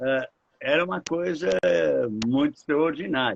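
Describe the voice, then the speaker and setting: A man at a fairly slow pace. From Brazil, São Paulo (Ipiranga). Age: 80s+. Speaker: foundation director, heritage project leader. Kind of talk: interview in a live stream. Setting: live stream. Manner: halting, repeating words.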